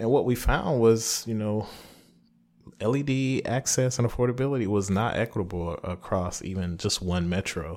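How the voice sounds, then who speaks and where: This man has a normal speaking voice, fairly low in pitch with ordinary pitch variation, and talks at a moderate pace. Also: very clean recording, silent background. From US South, rural Lee County, South Carolina. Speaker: professor. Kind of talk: interview. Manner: frequent fillers (um, uh).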